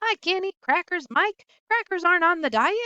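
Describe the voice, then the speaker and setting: Shouting in a put-on character voice, a woman uses a squeaky, extremely high pitch, a raised, projected delivery and lively intonation at a moderate pace, with a dry, close sound and no echo. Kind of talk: children's book read-aloud. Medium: read story. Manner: loud, shouting, impatient.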